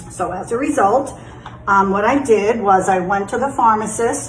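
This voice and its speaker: With noticeable background noise and audible room echo, a woman speaks at a moderate pace with a medium pitch. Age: 60s. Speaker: health vlogger sharing personal experience. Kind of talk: casual personal explainer monologue. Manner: conversational with frequent fillers.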